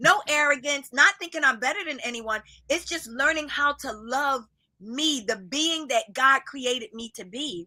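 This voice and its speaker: A woman's raised, projected voice in an American accent, high-pitched, bright and sharp in tone, animated, with lively intonation, big swings in loudness and a moderate pace. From US Northeast, Philadelphia. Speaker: minister and life coach. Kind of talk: podcast interview.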